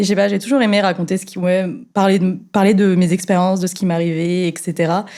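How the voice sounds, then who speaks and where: At a very fast pace, a woman speaks at a medium pitch with a dark, mellow tone and monotone, flat intonation, on a very clean recording with a silent background. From central France, Clermont-Ferrand. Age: 20s. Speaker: fire safety engineer. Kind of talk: podcast interview. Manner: hesitant, many fillers.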